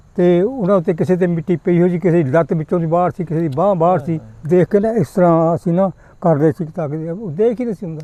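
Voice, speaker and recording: A man speaks at a high pitch with a dark, mellow tone. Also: ordinary pitch variation, dry, close sound with no echo. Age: 80s+. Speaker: retired schoolteacher. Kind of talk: interview answer.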